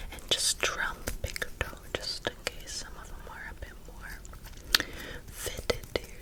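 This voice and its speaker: A woman whispers at a fairly slow pace, her loudness swinging widely over noticeable background noise. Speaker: ASMR creator. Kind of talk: ASMR roleplay.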